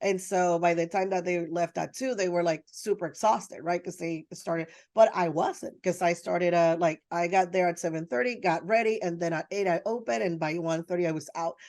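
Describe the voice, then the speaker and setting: A woman with a Spanish accent talks in an animated tone at a fairly quick pace with hardly any pauses. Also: fairly low pitch for a woman, ordinary pitch variation. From Dominican Republic and Puerto Rico. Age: 30s. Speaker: photographer. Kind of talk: interview conversation.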